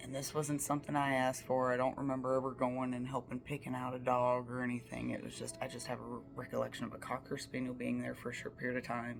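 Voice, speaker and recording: A very fast speaker with an Appalachian accent, barely pausing at all. Noticeable background noise runs underneath. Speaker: storyteller. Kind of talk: casual storytime monologue. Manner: casual, many fillers.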